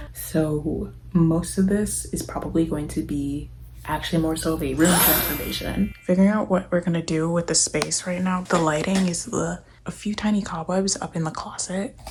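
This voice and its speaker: The woman speaks at a moderate pace. Noticeable background noise can be heard. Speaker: vlogger. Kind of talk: casual vlog narration. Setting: apartment room.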